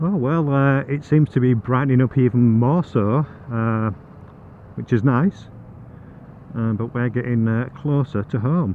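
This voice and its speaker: A man speaks at a fairly slow pace, leaving long, frequent pauses. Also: medium pitch for a man, ordinary pitch variation. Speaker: motorcycle vlogger. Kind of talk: casual chat. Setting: riding a motorbike outdoors.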